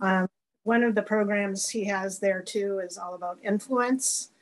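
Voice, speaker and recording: Against a quiet background, a woman with a normal speaking voice talks at a moderate pace with fairly even intonation. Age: 60s. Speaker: guest sharing personal experience. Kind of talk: casual chat.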